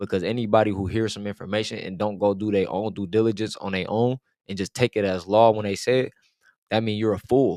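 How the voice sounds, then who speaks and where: An American accent marks this man's ordinary speaking voice, fairly low in pitch with fairly even intonation and a fairly quick pace, in a very clean, silent-background recording with a dry, close sound and no echo. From US West Coast, Oakland, Bay Area. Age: 20s. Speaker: spiritual content creator. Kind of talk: casual interview chat.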